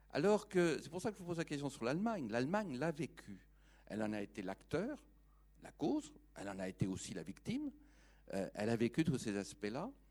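Using vocal fry, a man with a fairly high pitch makes very wide pitch swings and takes long, frequent pauses. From France. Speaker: audience member. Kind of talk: audience question.

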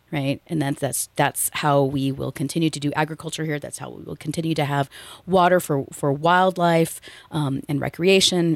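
Heard dry and close with no echo, a woman speaks at a moderate pace in a very deep, low pitch with vocal fry and fairly even intonation. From US West (Central Valley, California). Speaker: land trust executive director. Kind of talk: casual chat. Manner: halting.

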